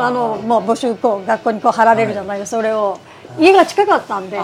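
Over noticeable background noise, a woman talks at a very fast pace and a fairly high pitch with lively intonation. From Niigata City, Japan. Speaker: rice ball shop owner. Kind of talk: interview.

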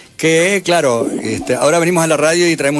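A man rattles off words at a very fast pace as noticeable background noise plays. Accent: Uruguayan. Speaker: rock band musician. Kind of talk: radio interview.

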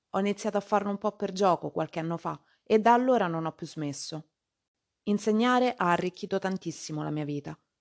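A woman speaks in a normal speaking voice at medium pitch, with ordinary pitch variation and a fairly quick pace. The sound is dry and close with no echo, against a quiet background. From Rome, Italy. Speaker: Italian language teacher and podcaster. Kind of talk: scripted podcast monologue for language learners. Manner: clear and measured.

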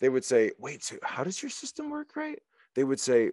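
With an American accent, a man talks at a fairly quick pace in a dark, mellow tone, the sound dry and close with no echo over a quiet background. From US, Philadelphia area. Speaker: political commentator, military veteran. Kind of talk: interview conversation.

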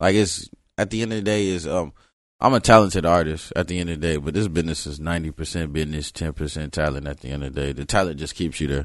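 Against a quiet background, a man with an American accent talks very fast in a very deep, low voice with ordinary pitch variation. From South Florida (Broward County), early years in Los Angeles. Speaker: rapper. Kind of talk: interview.

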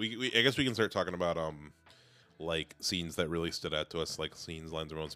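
Over music in the background, a man speaks with a very deep, low pitch. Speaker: podcast host. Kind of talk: casual chat. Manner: halting, filler-heavy.

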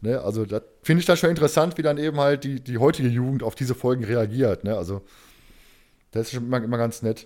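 A man at medium pitch, talking very fast, on a very clean recording with a silent background. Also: ordinary pitch variation. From Ruhr area, Germany. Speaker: podcast host. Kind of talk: casual chat.

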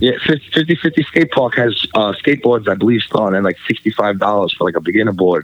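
A man with a New York accent speaks at a moderate pace in a fairly low pitch, with lively intonation, very even loudness and hardly any pauses. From Staten Island, New York. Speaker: graffiti artist and event organizer. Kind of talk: casual chat.

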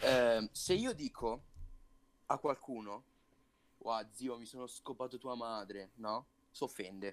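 Very slowly, a man speaks with long, frequent pauses and ordinary pitch variation. His loudness swings widely. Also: medium pitch for a man. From Italy, Sarzana (Lunigiana, Liguria). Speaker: podcast co-host. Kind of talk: casual chat.

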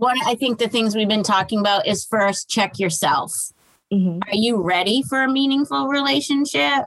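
With an American accent and a normal speaking voice, a woman talks at a moderate pace and a fairly high pitch. Her intonation is lively and her loudness very even. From Massachusetts, Boston area. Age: 40s. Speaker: author and dating coach. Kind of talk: casual interview.

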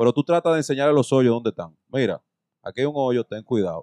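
A man with a fairly high pitch and a dark, mellow tone talks at a very fast pace, with a dry, close sound and no echo. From Dominican Republic, Santo Domingo. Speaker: podcast host. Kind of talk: casual chat.

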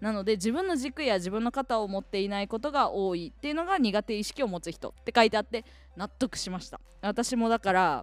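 In a very clean recording with a silent background, a woman uses a normal speaking voice, fairly high in pitch, talking fairly quickly with lively intonation. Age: 20s. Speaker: radio personality. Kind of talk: casual solo radio talk about a book.

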